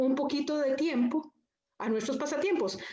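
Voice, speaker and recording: A woman with a high pitch speaks at a moderate pace in a room with audible echo. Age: 60s. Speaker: panelist. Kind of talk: panel discussion.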